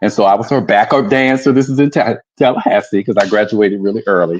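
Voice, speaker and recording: The speaker talks at a moderate pace with ordinary pitch variation, in a dry, close sound with no echo. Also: man. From Florida. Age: 60s. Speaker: drag performer. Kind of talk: casual interview. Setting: live stream.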